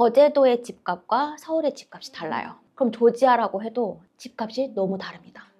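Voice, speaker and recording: In a dark, mellow tone, a woman speaks at a fairly high pitch with ordinary pitch variation. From South Korea, Seoul. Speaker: nurse. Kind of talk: interview.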